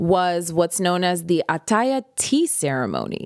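A woman with an American accent speaks at a fairly low pitch with lively intonation, on a very clean, silent-background recording whose sound is dry and close with no echo. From US, Prince George's County, Maryland (DC area). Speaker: podcast host. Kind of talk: casual solo monologue.

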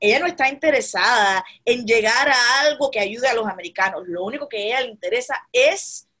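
High-pitched and bright with a sharp tone, a woman talks at a fairly slow pace in an animated way. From Cuba. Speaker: political podcast host. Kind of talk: political commentary.

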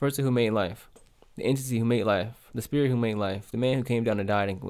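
Rushing at a very fast pace, a man speaks at a medium pitch with ordinary pitch variation. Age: 20s. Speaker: podcast host. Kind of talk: casual monologue rant. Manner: halting, repeats words.

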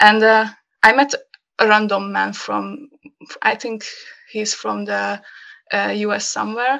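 A woman speaks with a Hungarian accent at a fairly slow pace. She takes long, frequent pauses against a quiet background. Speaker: graphic designer. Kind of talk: casual chat. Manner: halting.

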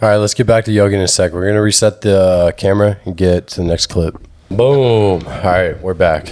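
There is noticeable background noise as a man speaks. His fairly low voice moves at a moderate pace. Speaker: podcast host. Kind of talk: casual chat. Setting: studio. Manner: animated.

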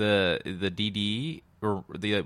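A man's very deep, low voice. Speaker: podcast host. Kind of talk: casual banter. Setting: studio. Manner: monotone; joking, rambling.

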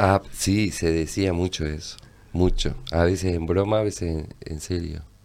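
A man with a very deep, low pitch speaks at a fairly slow pace with fairly even intonation. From Uruguay, Tacuarembó. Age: 60s. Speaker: visual artist and publisher. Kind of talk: casual interview chat.

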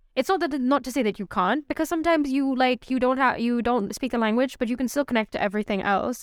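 With a Pakistani accent, a woman talks very fast at a high pitch with ordinary pitch variation, in a dry, close sound with no echo and a very clean recording against a silent background. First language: Urdu. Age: 20s. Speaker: podcast co-host. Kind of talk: casual chat.

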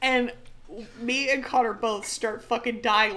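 Against noticeable background noise, a woman with an American accent talks at a moderate pace in a high pitch, her intonation fairly even. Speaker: podcast co-host. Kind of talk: casual chat.

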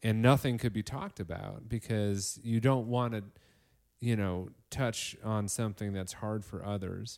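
A man with an American accent, fairly low in pitch, at a fairly slow pace, a normal speaking voice with fairly even intonation, on a very clean recording with a silent background. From northern Illinois. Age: 30s. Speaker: podcast host and teacher. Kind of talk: casual chat. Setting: living room by a fireplace.

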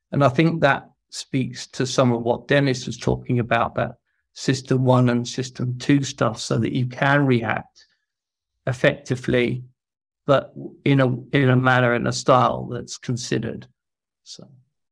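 Moderate pace and monotone, flat intonation. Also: man, medium pitch for a man. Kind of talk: discussion comment. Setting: video call.

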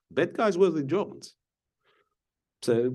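A man's dark, mellow tone in a Ukrainian accent, with very wide pitch swings at a moderate pace. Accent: Russian-speaking Ukrainian. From eastern Ukraine, Donetsk. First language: Russian. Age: 40s. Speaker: chess grandmaster and commentator. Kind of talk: casual interview.

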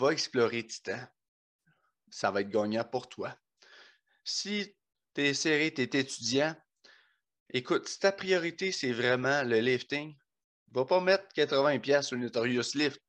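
At a very slow pace with long, frequent pauses, a man with a fairly high pitch and ordinary pitch variation speaks against a quiet background. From Quebec, Bas-Saint-Laurent. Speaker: podcast host, powerlifter. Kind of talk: sponsor read; casual chat. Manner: animated.

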